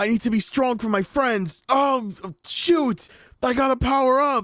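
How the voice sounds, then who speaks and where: At a moderate pace, a man puts on a character voice at an extremely high pitch. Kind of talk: exaggerated, heroic. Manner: earnest, over-the-top, dramatic.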